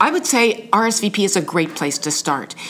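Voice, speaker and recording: Noticeable background noise accompanies a woman as she talks at a moderate pace. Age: 60s. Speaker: senior volunteer, retiree. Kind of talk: interview.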